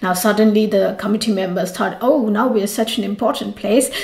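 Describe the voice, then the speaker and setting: Noticeable background noise accompanies a woman with a fairly high voice. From India, Mumbai. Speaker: yoga teacher. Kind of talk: storytelling.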